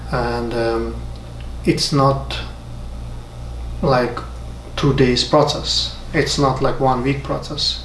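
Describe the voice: Slow speech with fairly even intonation. Room echo is audible. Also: man.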